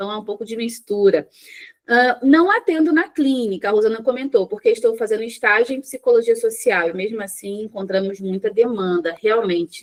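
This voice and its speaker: A fairly high woman's voice at a moderate pace, with ordinary pitch variation and big swings in loudness. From Rio de Janeiro, Brazil. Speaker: psychologist. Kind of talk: live online workshop. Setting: live stream with chat. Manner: conversational, informal.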